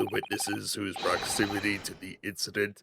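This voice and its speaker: A man puts on a character voice and keeps to a moderate pace. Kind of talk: formal courtroom speech. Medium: game stream. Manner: stiff, formal.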